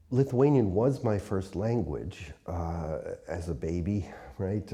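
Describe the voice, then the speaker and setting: A man with a northeastern US accent speaks at a very slow pace. His pitch is very deep and low, his tone dark and mellow. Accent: American English, northeastern US. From upstate New York, US. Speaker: poet and translator, university teacher. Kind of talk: interview. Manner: hesitant, many filler words.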